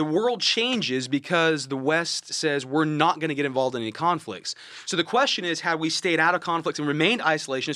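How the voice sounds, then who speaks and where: In an American accent, a man with an unremarkable speaking voice talks at a fairly quick pace with hardly any pauses, fairly high pitch and ordinary pitch variation. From Florida (Okeechobee). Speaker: history professor, podcast co-host. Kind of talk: casual educational chat.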